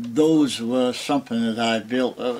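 Noticeable background noise sits behind a man with a Maine accent. He talks at a moderate pace and a medium pitch. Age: 90s. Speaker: master craftsman. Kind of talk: casual chat.

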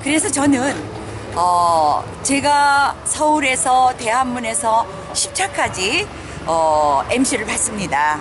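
Slowly, at a very slow pace, a woman speaks at a high pitch with very wide pitch swings and very even loudness, in dry sound with no echo but noticeable background noise. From South Korea. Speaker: political rally organizer; MC. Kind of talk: interview. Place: street. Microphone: phone near.

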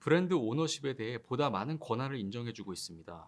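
A man talks here. His pitch rises and falls over a very wide range. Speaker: e-commerce team manager. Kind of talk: conference presentation. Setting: conference talk. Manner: formal.

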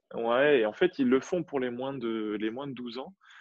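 An unremarkable speaking voice from a man, medium in pitch with ordinary pitch variation, at a fairly slow pace. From Normandy, France. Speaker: tennis coach and competitive player. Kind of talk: casual interview chat.

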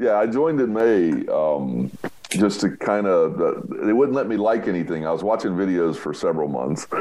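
With an American accent, a man speaks at a fairly quick pace and a fairly low pitch. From United States. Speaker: roofer and public adjuster; podcast guest. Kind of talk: casual interview. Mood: warm, relaxed, storytelling. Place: home room. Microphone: video call.

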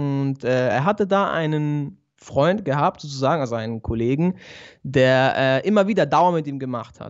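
Against a quiet background, a fairly high-pitched man speaks at a moderate pace with ordinary pitch variation. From Switzerland, Basel. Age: 20s. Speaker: barber and convert to Islam; guest. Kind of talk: interview, personal testimony. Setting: remote video call. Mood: calm, reflective. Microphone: good audio equipment; studio mic.

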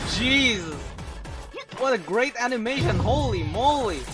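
Over clear music in the background, a man speaks at a fairly slow pace with lively intonation. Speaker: voice actor. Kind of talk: casual reaction commentary. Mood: amused, excited. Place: home room. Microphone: webcam.

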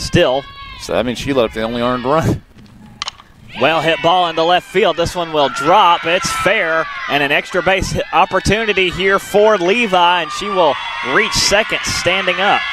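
The speech moves at a moderate pace with ordinary pitch variation, and there is noticeable background noise. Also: man, high pitch for a man. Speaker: sports play-by-play announcer. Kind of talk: live sports commentary, play-by-play. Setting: softball field broadcast.

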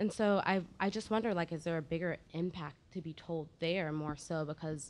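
With an American accent, a woman talks at a moderate pace in a very deep, low pitch. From Virginia. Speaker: audience member. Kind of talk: audience question. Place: stage.

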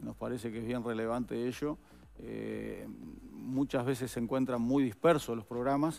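A man holds fairly even intonation and a moderate pace as he speaks. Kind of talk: interview answer. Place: studio. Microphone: headset.

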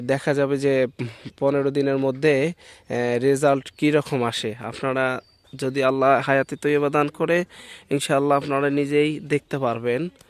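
A man talks in a fairly high pitch with monotone, flat intonation. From northern Bangladesh, Nilphamari. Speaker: YouTuber vlogger. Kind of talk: outdoor vlog narration. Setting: outdoors in village fields.

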